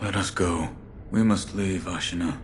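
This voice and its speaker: Putting on a character voice with a very deep, low pitch, a man speaks at a moderate pace against clear background noise. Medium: video game. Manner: terse, stoic.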